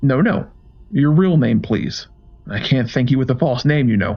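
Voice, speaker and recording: A man puts on a character voice at medium pitch. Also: moderate pace. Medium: read story. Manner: polite, soft-spoken, menacing.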